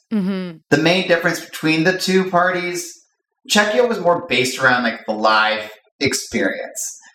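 The voice is bright and sharp, with very wide pitch swings at a moderate pace and audible room echo. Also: man, high pitch for a man. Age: 40s. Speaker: DJ and party promoter. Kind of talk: interview.

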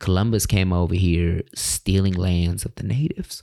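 Recorded very cleanly against a silent background, a man speaks at a fairly slow pace with a very deep, low pitch, a dark, mellow tone and ordinary pitch variation. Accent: American. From California. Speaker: podcaster and mindfulness coach. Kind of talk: casual storytelling monologue.

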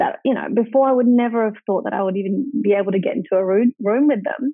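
This woman has an Australian accent. Her pitch moves up and down in an ordinary way. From Australia, regional New South Wales (Wagga Wagga). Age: 20s. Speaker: entrepreneur. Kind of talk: interview.

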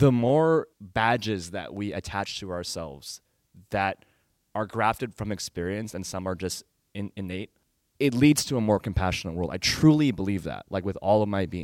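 A man with an American accent, fairly low-pitched, lively in intonation, at a moderate pace, in a very clean recording with a silent background and a dry, close sound with no echo. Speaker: entertainment industry worker. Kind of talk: live interview. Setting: stage with audience. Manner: serious.

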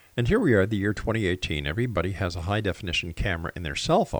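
In a Canadian accent, a man with a very deep, low pitch talks at a fairly quick pace with ordinary pitch variation, on a very clean recording with a silent background. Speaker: radio host. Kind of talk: radio station announcer reading disclaimers and show promos, then interview. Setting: radio studio.

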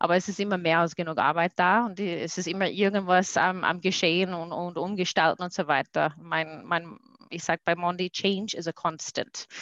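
A woman with a fairly low voice speaks at a moderate pace with fairly even intonation. The sound is dry and close with no echo, over a quiet background. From USA. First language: English (speaking German). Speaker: corporate sustainability manager. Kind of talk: interview. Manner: halting.

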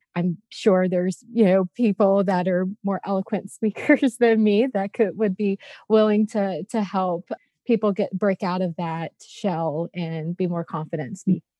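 With an unremarkable speaking voice, this woman keeps a medium pitch and ordinary pitch variation while talking at a fairly slow pace. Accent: American. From US South, Louisiana. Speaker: front end engineer. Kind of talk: casual chat.

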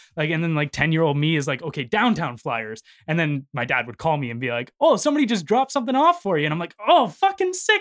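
A man with a Canadian accent talks at a fairly quick pace, his pitch swinging very widely. The recording is very clean, with a silent background. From Ontario, Canada. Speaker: musician and entrepreneur. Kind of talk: casual chat.

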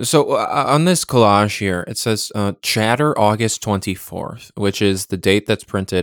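Recorded very cleanly against a silent background, with a dry, close sound and no echo, a man at fairly low pitch speaks at a moderate pace with ordinary pitch variation. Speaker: podcast host. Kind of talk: solo magazine review, casual commentary. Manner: halting, many filler words; rambling, descriptive.

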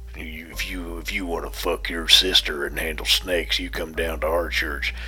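Clear music plays in the background as a put-on character voice moves along at a moderate pace. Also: man. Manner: mocking.

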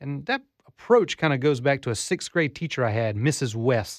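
Fairly high-pitched male voice with ordinary pitch variation over a quiet background. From Southeast Alabama. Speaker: college teacher. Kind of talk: interview. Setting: studio.

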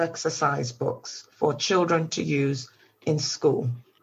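A woman speaks fairly slowly in a somewhat breathy voice. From Jamaica, then Nottingham from about age 10. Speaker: teacher and exercise book publisher. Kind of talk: interview.

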